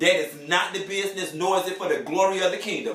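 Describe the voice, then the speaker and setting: Over noticeable background noise, a man with a high voice speaks in an animated tone. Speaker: TV recap vlogger. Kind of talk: casual chat. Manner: fast.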